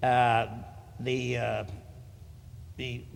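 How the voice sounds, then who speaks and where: Against audible room echo, a man with an American accent speaks with vocal fry. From Connecticut. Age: 80s+. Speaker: military veteran. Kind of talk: public hearing testimony. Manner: halting, many fillers and repetitions.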